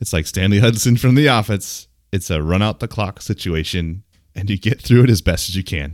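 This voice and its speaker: The speaker has a plain, everyday voice with ordinary pitch variation at a fairly quick pace. The recording is very clean, with a silent background. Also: man, fairly low pitch for a man. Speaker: podcast co-host. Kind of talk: casual banter. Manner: playful, joking.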